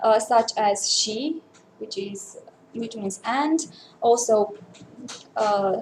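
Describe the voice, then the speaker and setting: A woman with a Romanian accent speaks at a very slow pace. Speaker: linguist researcher. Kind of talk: conference talk. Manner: halting.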